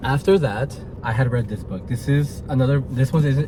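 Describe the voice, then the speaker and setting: A man speaks in an animated tone. Noticeable background noise runs behind him. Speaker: podcast host. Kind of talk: casual book review monologue. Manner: stuttering at times.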